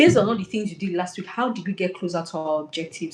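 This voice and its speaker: Her voice somewhat breathy, a woman speaks with lively intonation. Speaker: career coach. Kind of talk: webinar talk. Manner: fast.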